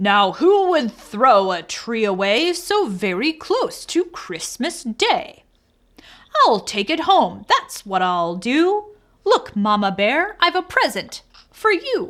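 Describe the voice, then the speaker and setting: A woman performs a put-on character voice, high in pitch with very wide pitch swings. She delivers it at a fairly slow pace. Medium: read story. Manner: jolly, sleepy.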